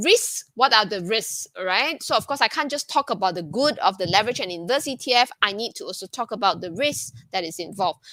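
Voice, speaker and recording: Her tone is bright and sharp as a woman speaks at a fairly high pitch. Her pitch swings very widely. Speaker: ETF fund director. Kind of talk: webinar presentation. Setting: online webinar. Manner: fast; hesitant with fillers.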